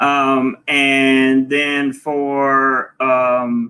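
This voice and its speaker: A man talks in a Southern US accent. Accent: Southern drawl. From US South, North Carolina (Charlotte area). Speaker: travel vlogger. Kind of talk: casual chat.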